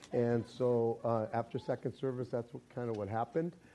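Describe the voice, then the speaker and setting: Tone-wise, the voice is dark and mellow. Its pace stays moderate. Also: man. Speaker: pastor. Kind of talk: sermon. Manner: halting.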